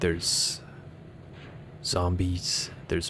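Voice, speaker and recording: A man with a non-native accent speaks very slowly in a very deep, low, somewhat breathy voice with fairly even intonation. Room echo is audible. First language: not English. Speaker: gaming YouTuber. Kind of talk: ASMR gameplay commentary. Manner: soft-spoken; halting.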